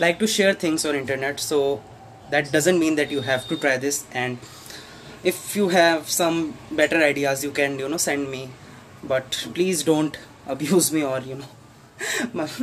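A man with a Tripura accent speaks at a fairly slow pace with ordinary pitch variation. Light background noise runs underneath. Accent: Indian English (Tripura). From North Tripura, India. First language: not English. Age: 20s. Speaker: student. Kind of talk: casual cooking vlog talk to camera. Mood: relaxed, playful. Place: kitchen. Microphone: phone near.

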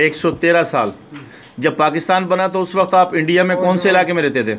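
A man speaks in a high pitch with ordinary pitch variation. Light background noise sits behind him. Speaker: relative interviewing an elderly uncle. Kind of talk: interviewer questions. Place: home room. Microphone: phone near.

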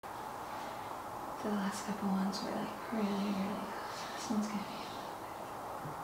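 A woman speaks at a very slow pace with audible room echo. Loud background noise fills the clip. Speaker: pregnant vlogger. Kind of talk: casual vlog chat. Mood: playful, joking.

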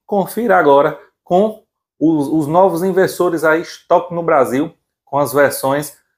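An excited, animated man with a Brazilian accent at a moderate pace, with ordinary pitch variation. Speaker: channel host and seller. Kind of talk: sales pitch. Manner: excited, animated, shouting prices and deals. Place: workshop. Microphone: lapel.

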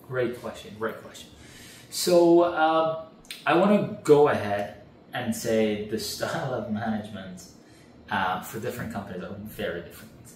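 A man at a moderate pace, with very wide pitch swings and big swings in loudness, audible room echo and light background noise. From Canada. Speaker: real estate rental expert; interview guest. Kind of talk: interview. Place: home room.

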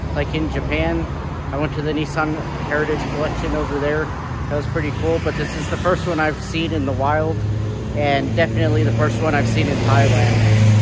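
A man at a fairly quick pace, a dry sound with no echo, loud background noise behind him. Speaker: car enthusiast vlogger. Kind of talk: casual vlog chat. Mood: relaxed, enthusiastic. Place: street. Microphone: phone near.

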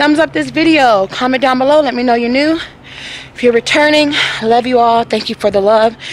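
A high-pitched woman talks at a fairly quick pace, with light background noise and a dry sound with no echo. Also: ordinary pitch variation. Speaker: family vlogger. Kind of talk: casual vlog chat. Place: street. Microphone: phone near.

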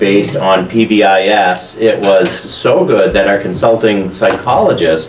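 Speaking at a very slow pace, a man with a fairly low pitch is heard with audible room echo and light background noise. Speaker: school administrator giving report. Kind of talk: meeting report. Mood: upbeat, positive. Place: classroom.

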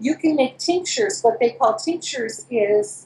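In a room with audible echo, a woman speaks at a high pitch and a fairly slow pace. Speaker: remote guest. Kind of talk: interview answer. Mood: enthusiastic, explanatory. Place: home room. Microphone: video call.

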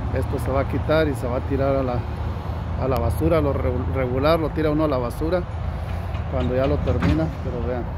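A man talks at a moderate pace. Loud background noise runs beneath a dry sound with no echo. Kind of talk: casual explanatory vlog chat. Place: street. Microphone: phone near.

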